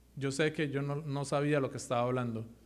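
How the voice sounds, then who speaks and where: With audible room echo, a man speaks at a fairly high pitch and with fairly even intonation. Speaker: lay preacher. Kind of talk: sermon. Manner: fast; halting.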